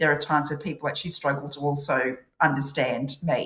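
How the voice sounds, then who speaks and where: Fairly quick speech in a strong Australian accent, with fairly even intonation. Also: woman. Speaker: corporate professional. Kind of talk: podcast interview.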